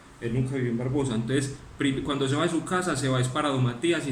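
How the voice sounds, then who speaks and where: Someone talks at a very fast pace, with audible room echo and noticeable background noise. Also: man. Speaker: lawyer. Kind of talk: closing argument in court hearing. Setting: virtual court hearing, video call. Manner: formal.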